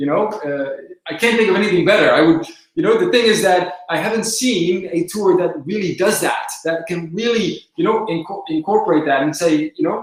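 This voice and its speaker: A man speaks with a Dutch accent at a high pitch. His pitch variation is ordinary. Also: moderate pace. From southern Netherlands. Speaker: company presenter. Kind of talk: live webinar Q&A. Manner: hesitant, many filler words.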